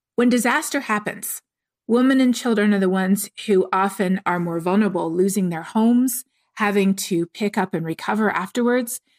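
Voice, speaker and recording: A woman talks at a moderate pace in an ordinary speaking voice, with medium pitch and ordinary pitch variation. The recording is very clean and dry, close with no echo and a silent background. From Canada. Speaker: climate scientist. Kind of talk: interview.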